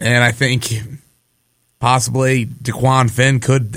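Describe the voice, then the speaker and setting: The man's voice sits at a medium pitch. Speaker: sports radio host and game broadcaster. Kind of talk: casual sports banter.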